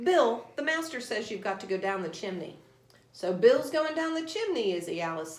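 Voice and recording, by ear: Natural-voiced reading aloud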